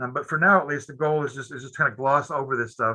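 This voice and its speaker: This man speaks at a very fast pace. His tone is bright and sharp. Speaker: professor. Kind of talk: lecture. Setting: webinar. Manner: halting with many repetitions.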